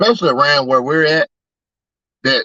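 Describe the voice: With a dry, close sound and no echo, a man speaks at a moderate pace in a fairly high pitch, his bright, sharp tone carrying lively intonation.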